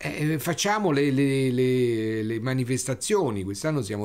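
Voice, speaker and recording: The man's intonation is lively. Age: 60s. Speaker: wine critic. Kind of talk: interview storytelling. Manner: halting, with repetitions.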